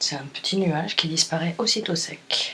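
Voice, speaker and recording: A woman's quiet whispering at a fairly slow pace, amid noticeable background noise. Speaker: furniture finisher. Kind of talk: tutorial explanation. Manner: near-whispered, quiet.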